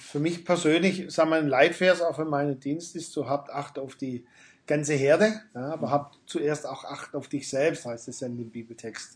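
Somewhat breathy, a man talks at a moderate pace. His fairly high pitch shows ordinary pitch variation. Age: 50s. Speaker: pastor. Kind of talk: interview. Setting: backstage room after a church service.

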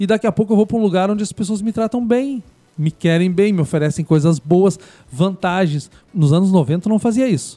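A man with a southern Brazilian accent speaks at a high pitch and a fairly quick pace, with lively intonation and a dark, mellow tone. The sound is dry and close with no echo, on a very clean recording with a silent background. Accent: gaúcho Brazilian Portuguese. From southern Brazil, Rio Grande do Sul frontier (Bagé). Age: 50s. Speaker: historian and journalist. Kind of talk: radio interview. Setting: community radio studio.

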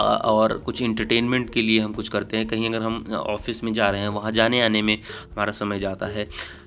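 A man's medium-pitched, monotone, flat delivery at a moderate pace with hardly any pauses, over noticeable background noise. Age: young. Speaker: podcast host. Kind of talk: solo monologue.

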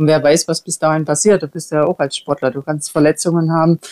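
A woman speaks in a fairly low pitch with a dark, mellow tone, recorded dry and close with no echo. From Saxony, Germany (Erzgebirge). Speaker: retired luge champion. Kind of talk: interview.

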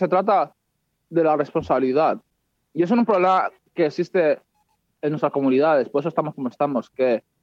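This man's pitch is fairly high, with ordinary pitch variation. He has an unremarkable speaking voice. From Spain (Madrid). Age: 20s. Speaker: psychology student. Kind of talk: casual interview.

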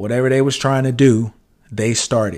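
A man with a medium pitch speaks at a moderate pace. His intonation stays fairly even. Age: 40s. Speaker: podcast host, aspiring entrepreneur. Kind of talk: casual solo monologue.

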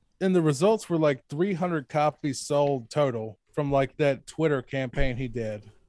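In a plain, everyday voice, a man with an American accent talks at a moderate pace and fairly high pitch, the sound dry and close with no echo. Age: 30s. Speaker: horror novelist and podcast host. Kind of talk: casual interview.

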